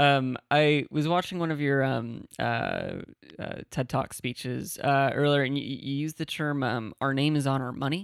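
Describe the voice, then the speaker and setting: In a very clean recording with a silent background, a man with a plain, everyday voice speaks at a fairly high pitch with fairly even intonation, the sound dry and close with no echo. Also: moderate pace. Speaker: podcast host. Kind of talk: interview questions and podcast intro.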